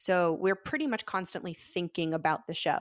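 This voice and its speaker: This woman has a normal speaking voice with a fairly low pitch. She talks at a fairly quick pace. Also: quiet background. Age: 30s. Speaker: magician. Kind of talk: interview.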